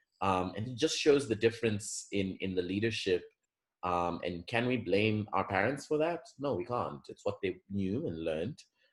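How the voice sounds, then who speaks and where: Lively intonation marks this man's fairly low-pitched voice, delivered at a moderate pace. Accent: American. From Zambia, Lusaka. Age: 20s. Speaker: interview guest. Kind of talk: podcast interview.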